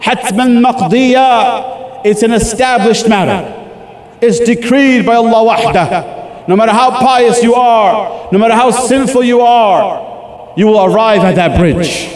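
Amid light background noise and audible room echo, a man with an extremely high pitch speaks at a fairly slow pace, his loudness very even and his pitch varying in an ordinary way. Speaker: preacher. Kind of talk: sermon / religious talk. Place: hall. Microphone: podium.

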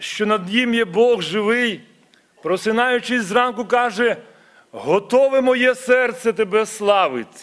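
A man's high-pitched voice at a very slow pace with ordinary pitch variation, over a quiet background. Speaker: church minister. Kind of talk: prayer. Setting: church. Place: church. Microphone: podium.

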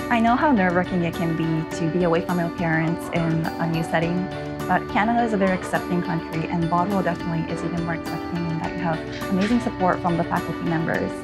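A woman talking at a very fast pace over clear background music. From Japan. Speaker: criminology graduate, former international student. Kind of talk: alumni testimonial, interview answer. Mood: warm, grateful, encouraging. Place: hall.

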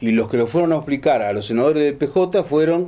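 A man talks at a fairly quick pace in a dark, mellow tone, his fairly high pitch rising and falling in an ordinary way. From Argentina. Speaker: radio show host. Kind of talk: casual panel chat. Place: cafe.

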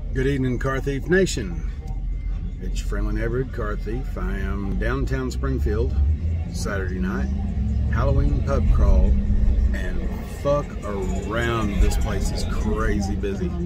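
Over music in the background, a man talks at a fairly slow pace with ordinary pitch variation and long, frequent pauses, in a dry sound with no echo. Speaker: vlogger driving. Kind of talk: casual vlog chat. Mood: amused, mildly irritated. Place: car. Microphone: phone near.

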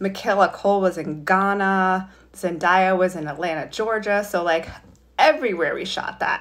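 A woman with an American accent speaks at medium pitch and a moderate pace. It is an unremarkable speaking voice with ordinary pitch variation. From New York State (Highland Falls); New York. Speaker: fashion magazine director. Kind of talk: career talk for school students. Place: home room. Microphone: phone near.

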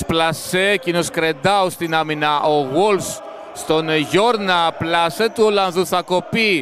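Very slow speech from a man, high-pitched, its pitch varying in an ordinary way amid noticeable background noise. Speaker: volleyball commentator. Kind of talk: live sports commentary. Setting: match broadcast over game footage. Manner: clipped, breathless, matter-of-fact.

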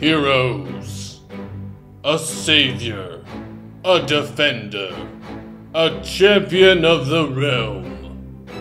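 A man puts on a cartoonish character voice at a medium pitch. Clear music plays in the background. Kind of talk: epic fantasy storybook narration.

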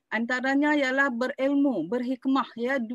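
A speaker with a Malaysian accent talks at a fairly slow pace with fairly even intonation. The sound is dry with no echo, over a quiet background. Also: woman. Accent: Malaysian Malay. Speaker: university lecturer. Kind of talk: lecture. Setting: video call. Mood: calm, earnest, religious tone. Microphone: video call.

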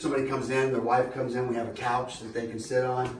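A man talks at a very fast pace in a monotone, flat delivery, with audible room echo and light background noise. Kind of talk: casual store tour. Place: shop. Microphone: camera far.

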